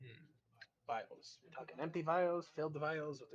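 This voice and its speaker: Moving at a moderate pace, this delivery is a put-on character voice. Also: man, fairly high pitch for a man. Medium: actual play. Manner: curt, brusque.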